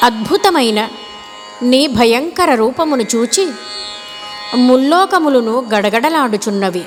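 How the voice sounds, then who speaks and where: A woman with a high pitch speaks with very wide pitch swings while music plays in the background. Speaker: classical singer. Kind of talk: scripture narration.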